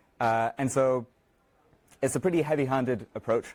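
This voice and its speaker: With ordinary pitch variation, a man delivers his words. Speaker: software developer giving a conference talk. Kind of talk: conference talk. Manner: fast; halting, many filler words.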